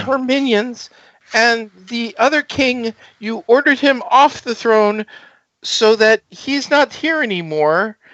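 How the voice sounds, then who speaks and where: A man puts on a loud, squeaky character voice at an extremely high pitch. He talks at a fairly slow pace with ordinary pitch variation. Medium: actual play. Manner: stammering, hesitant.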